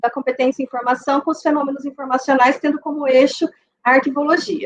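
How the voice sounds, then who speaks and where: A woman speaks in a high pitch with ordinary pitch variation. The sound is dry and close, with no echo. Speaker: university professor, lecturer. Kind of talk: academic talk. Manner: hesitant with fillers.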